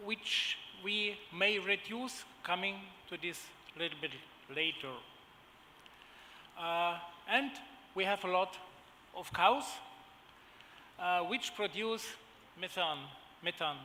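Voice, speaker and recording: In a German accent, a raised, projected voice speaks at a very slow pace with long, frequent pauses. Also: man, high pitch for a man, ordinary pitch variation. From Germany. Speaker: agribusiness executive. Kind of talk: conference panel presentation. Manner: halting, many fillers.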